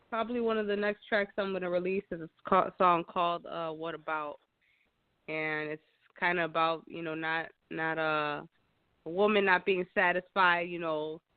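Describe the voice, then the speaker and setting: A Chicago accent at a moderate pace. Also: woman, fairly low pitch for a woman, fairly even intonation. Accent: Chicago American. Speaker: singer. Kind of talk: interview. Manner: hesitant, many fillers.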